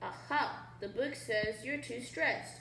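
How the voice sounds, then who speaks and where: A squeaky, put-on character voice from a woman, fairly high in pitch, at a fairly slow pace with slight echo. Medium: read story. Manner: timid, stammering.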